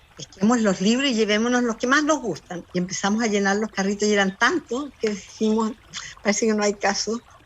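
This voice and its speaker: Noticeable background noise runs behind a woman speaking at a fairly quick pace. Her voice is fairly high, with ordinary pitch variation. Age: 70s. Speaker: librarian. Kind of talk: interview conversation. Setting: garden. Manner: animated.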